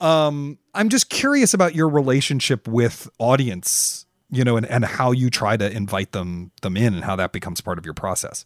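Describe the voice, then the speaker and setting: A man with an unremarkable speaking voice talks at a medium pitch and a moderate pace, with lively intonation and hardly any pauses. The very clean recording has a silent background and a dry, close sound with no echo. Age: 40s. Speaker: podcast host. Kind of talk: interview and casual chat.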